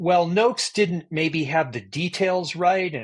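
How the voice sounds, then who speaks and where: A man with an unremarkable speaking voice talks at a fairly slow pace with ordinary pitch variation. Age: 60s. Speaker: neuroscientist and endurance coach. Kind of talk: podcast interview.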